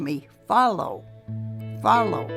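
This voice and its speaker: A woman speaks at a very slow pace with music playing in the background. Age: 80s+. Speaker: poet. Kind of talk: poetry reading.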